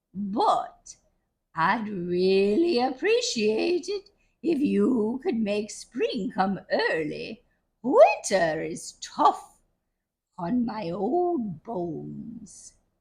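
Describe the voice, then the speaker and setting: A female-sounding put-on character voice, pitched fairly high, speaking at a very slow pace. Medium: read story.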